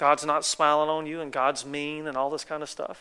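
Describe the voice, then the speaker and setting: The voice has a bright, sharp tone with a Southern US accent. The background is quiet. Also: man. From North Carolina, US South. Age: 40s. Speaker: guest preacher. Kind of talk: sermon. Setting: church.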